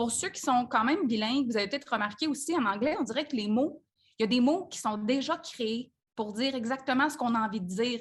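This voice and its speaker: A woman with a Quebec accent speaks at a high pitch and a fairly quick pace, with lively intonation. The background is quiet. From Quebec, Saint-Hyacinthe. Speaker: business coach. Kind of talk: live group coaching call. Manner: casual, conversational with fillers.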